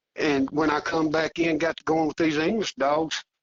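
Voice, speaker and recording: Speaking with a Southern US accent, a man talks at a moderate pace. His voice sits fairly high. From Arkansas. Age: 60s. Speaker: coonhound hunter. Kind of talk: casual interview chat.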